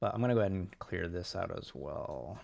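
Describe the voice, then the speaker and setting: A soft-spoken man with a very deep, low voice, on a very clean recording with a silent background. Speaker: home studio musician and producer. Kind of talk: casual livestream tutorial. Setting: bedroom home studio, livestream. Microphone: too quiet.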